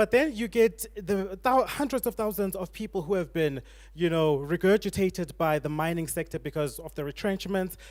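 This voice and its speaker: Man's high-pitched voice at a fairly quick pace, ordinary pitch variation. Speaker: panelist on a church discussion show. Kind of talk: panel discussion.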